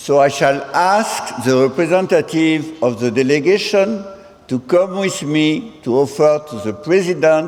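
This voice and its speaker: With noticeable background noise, a man speaks at a fairly slow pace using lively intonation. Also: fairly high pitch for a man. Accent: strong French. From France. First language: French. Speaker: president of international senior-university association. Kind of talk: ceremonial speech. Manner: halting, mixing English and French.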